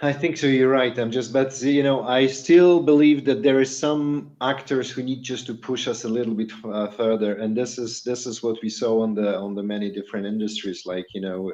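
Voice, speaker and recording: Through noticeable background noise, a man with a Polish accent speaks at a medium pitch with ordinary pitch variation and hardly any pauses. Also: moderate pace. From Poland. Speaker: podcast co-host. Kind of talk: casual chat.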